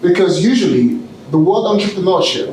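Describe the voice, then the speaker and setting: A man with a British accent speaks at a fairly quick pace in an animated tone with ordinary pitch variation, amid noticeable background noise and audible room echo. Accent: British with Nigerian roots. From Nigeria. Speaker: keynote speaker and entrepreneur. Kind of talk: motivational keynote speech. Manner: animated, engages audience with questions.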